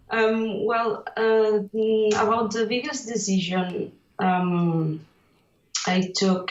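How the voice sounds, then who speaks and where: A woman talks with fairly even intonation, and room echo is audible. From Catalonia, Spain. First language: Catalan. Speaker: illustrator. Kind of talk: interview. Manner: halting, many fillers.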